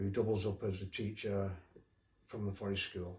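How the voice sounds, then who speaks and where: A somewhat breathy voice with a dark, mellow tone. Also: man. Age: 70s. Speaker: children's author. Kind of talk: casual interview talk. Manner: halting.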